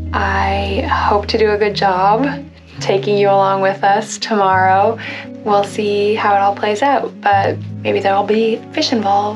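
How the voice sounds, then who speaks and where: A woman talks at a fairly slow pace while clear music plays in the background. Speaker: travel vlogger. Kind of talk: casual vlog chat. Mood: relaxed, cheerful. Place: home room. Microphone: phone near.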